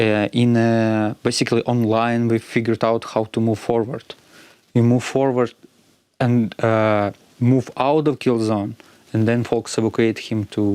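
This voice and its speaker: A man at medium pitch in monotone, flat intonation, with a dry, close sound and no echo. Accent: Ukrainian. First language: Ukrainian. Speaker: robotics company co-founder. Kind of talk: interview. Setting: studio. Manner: halting, with many fillers.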